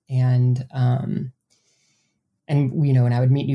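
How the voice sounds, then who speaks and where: A woman speaks at a very deep, low pitch in an Upper Midwest accent, her tone dark and mellow and somewhat breathy. Her intonation is monotone and flat, at a moderate pace. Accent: Upper Midwest American. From US Midwest, south central Wisconsin. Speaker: author. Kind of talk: interview. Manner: hesitant, frequent um fillers.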